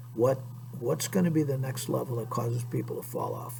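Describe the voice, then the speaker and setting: Noticeable background noise and audible room echo surround this man's speech. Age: 60s. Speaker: PE teacher. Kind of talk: lecture to students. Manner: conversational.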